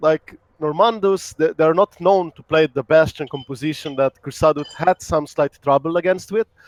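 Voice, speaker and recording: Speaking with a Russian accent, a man with a fairly high pitch and ordinary pitch variation talks at a moderate pace in a dry, close sound with no echo. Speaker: esports caster. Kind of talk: live commentary.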